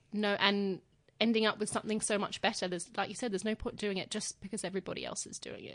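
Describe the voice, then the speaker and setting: Very fast and monotone, a woman at medium pitch speaks with flat intonation and big swings in loudness against a quiet background. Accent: Australian. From Australia. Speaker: podcast host, beauty journalist. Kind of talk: interview.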